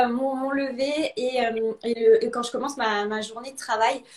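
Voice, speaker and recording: At a fairly slow pace, a woman talks with a high pitch and ordinary pitch variation. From Alsace, France. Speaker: interview guest. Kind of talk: live video interview.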